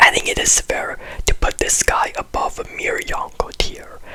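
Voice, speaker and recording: A fairly slow whisper comes through with noticeable background noise. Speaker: anime commentary youtuber. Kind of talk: video essay commentary. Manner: very quiet.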